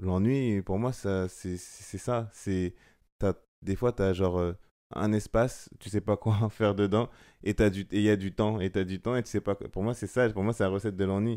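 A man's fairly low, dark, mellow voice at a fairly slow pace, with long, frequent pauses, fairly even intonation and a quiet background. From France, Seine-et-Marne; France. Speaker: photographer; guest. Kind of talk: casual chat; interview answer. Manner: hesitant, many fillers. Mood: calm, reflective. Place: home room. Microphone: studio mic.

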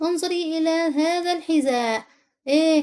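A woman with an Egyptian accent speaks at a very slow pace. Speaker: English teacher. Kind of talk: tutorial; storytelling: reads the English story aloud, then translates each line into Arabic. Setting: online video lesson. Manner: slow, clear, teacherly, pausing between English lines and Arabic explanations.

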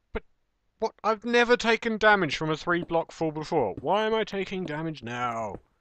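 A man's high, bright and sharp voice with an English accent, very wide pitch swings at a moderate pace, dry with no echo against a quiet background. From England. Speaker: gaming video creator. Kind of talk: gameplay commentary. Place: home room.

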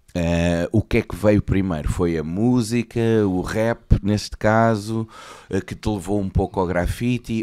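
With a European Portuguese accent, a man talks at a fairly slow pace in a dark, mellow tone with ordinary pitch variation against a quiet background. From Portugal. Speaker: podcast host. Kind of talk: interview. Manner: deliberately clear. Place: studio. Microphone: studio mic.

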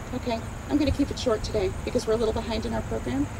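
Very fast speech from a woman, with noticeable noise in the background. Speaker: nurse and advocate, rally speaker. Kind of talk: rally speech. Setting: outdoor rally with audience. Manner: animated; emphatic, passionate, scolding. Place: open country. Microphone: camera far.

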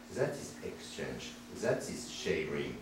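A man with a French accent speaks in an animated tone, with audible room echo and light background noise. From France. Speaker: professor. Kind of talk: seminar lecture. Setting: seminar room with audience. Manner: provocative, animated. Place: classroom. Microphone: camera far.

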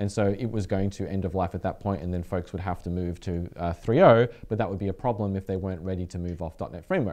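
A man talks at a very fast pace with hardly any pauses, his pitch very deep and low and his tone dark and mellow. His intonation is fairly even, and the background is quiet. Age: 40s. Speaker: developer community show host. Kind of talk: casual chat. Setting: studio. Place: home room. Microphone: headset.

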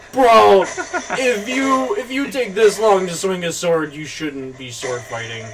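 Over music in the background, a man talks at a high pitch with very wide pitch swings. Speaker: gaming YouTuber. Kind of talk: gameplay commentary. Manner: animated.

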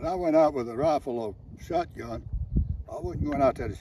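Noticeable background noise runs beneath a man speaking at a moderate pace, the sound dry with no echo. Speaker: military veteran. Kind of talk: casual reminiscing while target shooting. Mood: warm, nostalgic. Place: open country. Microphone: phone near.

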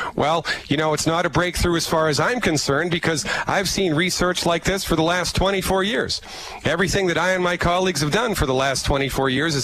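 A man with a fairly high pitch and ordinary pitch variation talks at a fairly quick pace. The sound is dry with no echo, though background noise is noticeable. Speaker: holistic physician promoting supplements. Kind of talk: sales pitch. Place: office. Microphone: headset.

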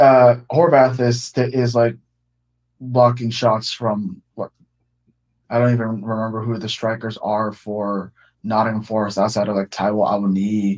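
In an unremarkable speaking voice, a man talks at a fairly slow pace with a medium pitch and fairly even intonation over a quiet background. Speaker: caller. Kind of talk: casual call-in chat. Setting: voice call over Discord. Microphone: video call.

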